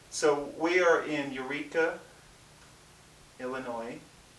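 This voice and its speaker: A man's intonation stays fairly even while noticeable background noise sounds behind him. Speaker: interviewer.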